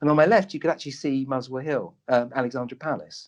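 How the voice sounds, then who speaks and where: Against a quiet background, a man with a London accent talks at a fairly quick pace and a fairly high pitch. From London (Tottenham, North London). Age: 60s. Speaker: doctor and medium. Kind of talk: interview storytelling.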